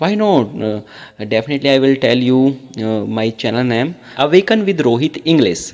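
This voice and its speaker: A man at medium pitch with lively intonation and a moderate pace, an ordinary speaking voice. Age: 20s. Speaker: English tutor, YouTuber. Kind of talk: casual chat. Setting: phone call.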